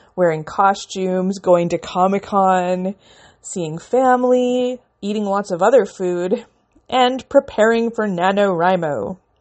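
A woman with a Canadian accent and a plain, everyday voice, medium in pitch with ordinary pitch variation, at a fairly slow pace. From Canada. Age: 30s. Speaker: podcast host and independent author. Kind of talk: casual solo podcast monologue.

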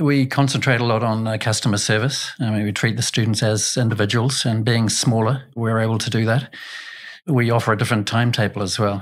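Here a man with a New Zealand accent talks at a fairly quick pace and medium pitch. His intonation is fairly even, on a very clean recording with a silent background. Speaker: education executive. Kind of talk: interview. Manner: hesitant, many fillers.

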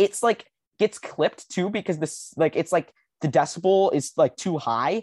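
A man with a plain, everyday voice speaks at a moderate pace with lively intonation, in a dry, close sound with no echo against a quiet background. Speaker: podcast host. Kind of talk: casual chat. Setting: video call.

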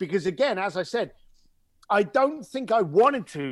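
With a London accent, a man talks at a moderate pace with very wide pitch swings. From East London, England (Irish family). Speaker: luxury concierge business owner. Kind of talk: interview. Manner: animated storytelling.

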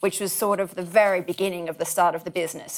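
A woman with an Australian accent in a very clean recording with a silent background. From rural New South Wales, Australia. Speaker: builder and former classical pianist. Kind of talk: interview. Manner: hesitant, many fillers.

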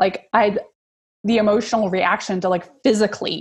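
Pitch moves with ordinary variation. A somewhat breathy quality is present. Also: woman. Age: 40s. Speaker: social worker and mother of a child with cancer. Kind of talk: interview.

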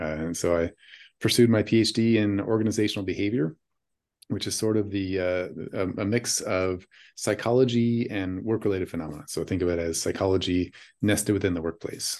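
With an American accent, a man talks at a fairly quick pace in a fairly low pitch. His intonation is fairly even, and he has an ordinary speaking voice. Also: quiet background. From US Pacific Northwest, Washington state. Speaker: professor. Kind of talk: interview.

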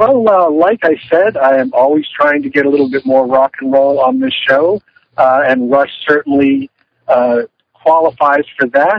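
In an ordinary speaking voice, a man talks at a moderate pace with fairly high pitch, ordinary pitch variation and very even loudness. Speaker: podcast co-host. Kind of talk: casual chat. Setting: in a car. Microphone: phone line, poor sound.

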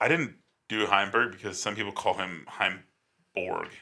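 With music playing in the background, the man takes a fairly slow pace. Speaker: disc golf podcast co-host. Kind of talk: casual chat. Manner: loud.

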